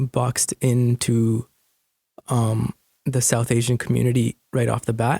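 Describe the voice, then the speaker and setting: In a Canadian accent, the somewhat breathy voice has a dark, mellow tone, monotone, flat intonation and a fairly slow pace, heard in a dry, close sound with no echo. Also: man. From Canada (Fraser Valley, BC); born in India. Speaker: hip-hop and spoken word artist. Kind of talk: interview. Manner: halting.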